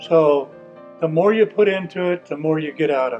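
A fairly high-pitched man with an American accent at a moderate pace, faint music in the background. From Indiana, USA. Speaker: Freemason, past master of a lodge. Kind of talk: interview answer. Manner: candid, reflective. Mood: proud, reflective. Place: hall.

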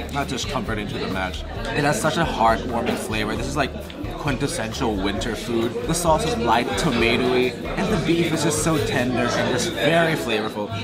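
There is music in the background as a man speaks at a moderate pace. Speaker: food vlogger. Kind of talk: casual food review vlog.

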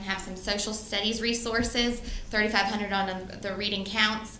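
Amid noticeable background noise and audible room echo, a woman speaks at a fairly high pitch and a fairly quick pace. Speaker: school principal. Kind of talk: presentation to school board. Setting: board meeting. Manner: fast.

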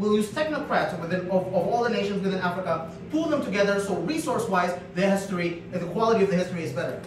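A man speaks very fast in a high voice with lively intonation, with audible room echo and noticeable background noise. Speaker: debater. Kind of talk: competitive debate speech. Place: classroom. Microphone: camera far.

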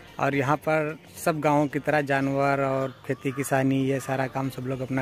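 Delivered at a fairly slow pace, the speech has a dry sound with no echo and light background noise. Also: man. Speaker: village vlogger. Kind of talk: casual vlog chat. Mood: playful, joking. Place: street. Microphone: phone near.

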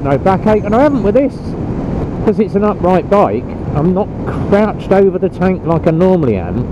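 A man speaks with ordinary pitch variation, the sound dry with no echo but with noticeable background noise. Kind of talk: casual vlog chat. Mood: relaxed, chatty. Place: motorbike. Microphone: helmet.

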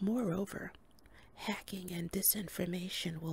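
A somewhat breathy woman speaks at a moderate pace. The sound is dry with no echo, over light background noise. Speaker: reader. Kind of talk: reading aloud from a book. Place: home room. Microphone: studio mic.

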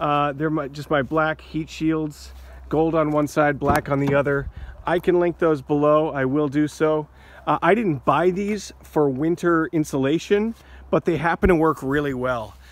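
At a moderate pace and with fairly even intonation, a man speaks in a dry sound with no echo. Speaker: van life vlogger. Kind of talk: casual vlog tutorial. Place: open country. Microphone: phone near.

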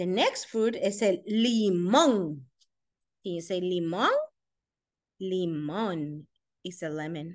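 A woman speaks at a very slow pace with long, frequent pauses, her pitch medium and its variation ordinary. The background is quiet. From Costa Rica. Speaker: elementary school principal; teacher reading a picture book. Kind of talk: reading aloud to children. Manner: animated. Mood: warm, encouraging. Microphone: webcam.

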